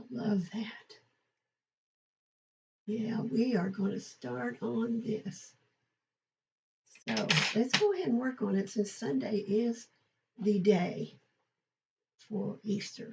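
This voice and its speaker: Speaking at a very slow pace with long, frequent pauses, a woman uses a fairly high pitch and vocal fry. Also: ordinary pitch variation. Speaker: paper crafter. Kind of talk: casual craft tutorial talk to camera.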